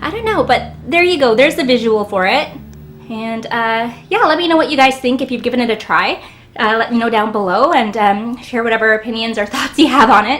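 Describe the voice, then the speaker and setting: This woman speaks at a fairly quick pace with a fairly high pitch and ordinary pitch variation. Background noise is noticeable. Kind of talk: casual product review to camera. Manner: hesitant, many fillers.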